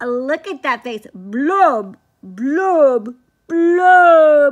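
The pitch is high. The voice is a put-on character voice. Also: quiet background. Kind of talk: children's picture-book read-aloud. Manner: playful, sing-song.

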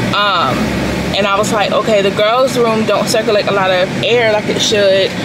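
Loud background noise fills the recording. A woman speaks through it at a moderate pace. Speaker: vlogger. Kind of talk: casual vlog talk to camera. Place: car. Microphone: phone near.

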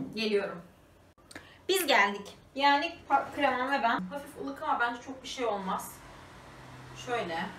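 A woman speaks at a high pitch and a fairly slow pace, with long, frequent pauses, lively intonation and big swings in loudness, over light background noise and audible room echo. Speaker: lifestyle vlogger. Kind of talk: casual vlog while baking. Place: kitchen. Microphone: camera far.

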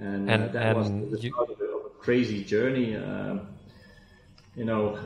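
A man with a Flemish accent at a fairly low pitch and fairly slow pace, with audible room echo. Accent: Belgian (Flemish) English. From Belgium. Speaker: fintech entrepreneur; guest. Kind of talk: interview. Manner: halting, many fillers. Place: office. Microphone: video call.

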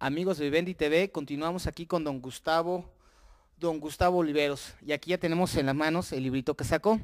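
A man speaks at a fairly quick pace in an unremarkable speaking voice. His pitch is fairly high and his intonation fairly even, over a quiet background. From Mexico. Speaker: local TV interviewer. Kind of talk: casual interview. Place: home room. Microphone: handheld.

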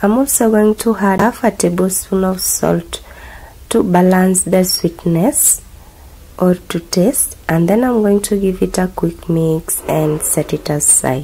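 A woman speaks at a very even volume, with ordinary pitch variation. There is noticeable noise in the background. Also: medium pitch for a woman, fairly slow pace. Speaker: cooking channel host. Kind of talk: cooking tutorial voiceover.

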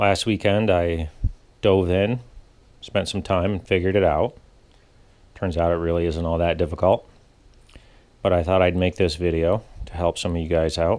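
A man's very deep, low voice at a moderate pace, with fairly even intonation and long, frequent pauses. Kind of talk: tutorial. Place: garage.

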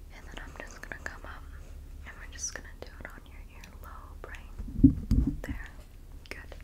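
A woman whispering at a fairly slow pace. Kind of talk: soft-spoken role-play talk to viewer. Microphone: phone near.

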